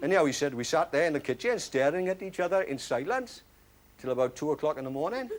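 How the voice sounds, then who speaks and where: A man at a very fast pace with very wide pitch swings, amid noticeable background noise. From Wales. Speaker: actor. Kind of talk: one-man stage play monologue. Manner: dry, humorous storytelling.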